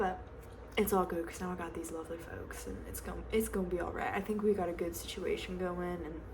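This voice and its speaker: A woman with an American accent races along at a very fast pace over noticeable background noise. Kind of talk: ASMR roleplay, casual gossip with a friend. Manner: chatty, friendly.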